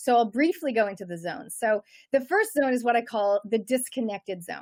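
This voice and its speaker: The speaker talks fairly quickly with a Canadian accent and lively intonation, in a dry, close sound with no echo. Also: woman, fairly high pitch for a woman. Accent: Canadian accent noticeable. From Canada. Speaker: personal development coach and author. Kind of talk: interview.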